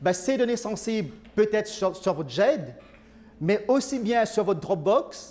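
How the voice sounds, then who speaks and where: Speaking fairly slowly in a Mauritian accent, a man uses a high pitch and lively intonation. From Mauritius. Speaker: IT consultant. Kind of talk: presentation. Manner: hesitant, many fillers.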